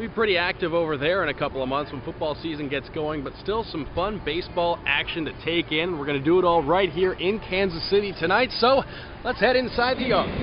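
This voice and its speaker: A man's high, upbeat voice with lively intonation, fairly quick and with hardly any pauses, over noticeable background noise. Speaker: hockey team radio broadcaster. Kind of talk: casual talk to camera, travel vlog. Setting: outdoors at ballparks. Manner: upbeat, conversational.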